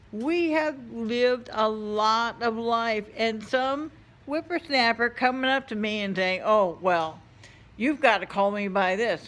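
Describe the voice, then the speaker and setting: Heard in a very clean recording with a silent background, a woman uses a normal speaking voice at a fairly high pitch, with lively intonation and a fairly slow pace. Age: old. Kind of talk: casual opinion rant to camera. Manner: blunt, exasperated.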